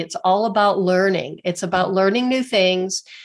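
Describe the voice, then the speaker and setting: A woman speaks at medium pitch with ordinary pitch variation. It is a normal speaking voice. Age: 60s. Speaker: alternative physical therapist and author. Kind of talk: interview conversation.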